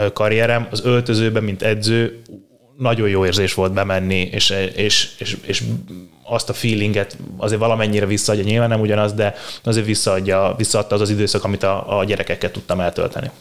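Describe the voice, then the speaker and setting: A man with a fairly low pitch talks at a fairly quick pace, his intonation monotone and flat and his loudness very even. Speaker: strength and conditioning coach. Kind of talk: interview.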